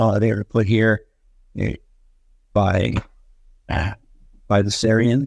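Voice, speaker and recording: A man's fairly low voice comes through dry and close, with no echo. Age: 70s. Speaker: fairy encounter witness. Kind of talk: interview. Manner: halting, many fillers. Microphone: poor audio quality.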